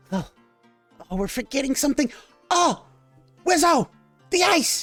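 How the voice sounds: A put-on character voice in a high pitch goes at a moderate pace, with faint music in the background.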